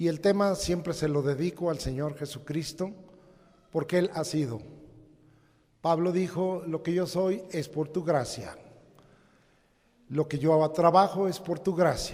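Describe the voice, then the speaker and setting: Pausing long and often, a man speaks at a fairly slow pace with a high pitch and fairly even intonation. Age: 70s. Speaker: pastor. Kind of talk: sermon. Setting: church.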